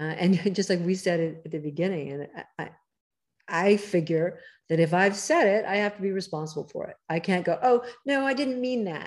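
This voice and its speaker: Against a quiet background, a woman talks at a moderate pace, her pitch swinging very widely. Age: 70s. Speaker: cookbook author. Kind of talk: casual chat. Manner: animated.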